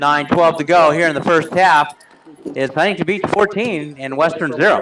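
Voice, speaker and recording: Noticeable background noise sits under a man's fairly high voice, which shows ordinary pitch variation. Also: moderate pace. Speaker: play-by-play commentator. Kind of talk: live sports commentary.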